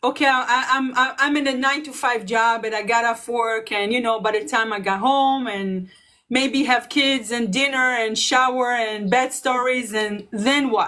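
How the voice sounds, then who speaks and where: A woman speaks in a high, bright, sharp voice at a moderate pace with fairly even intonation. There are hardly any pauses, and the recording is very clean with a silent background. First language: not English. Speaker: online business coach. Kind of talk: casual chat. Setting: livestream.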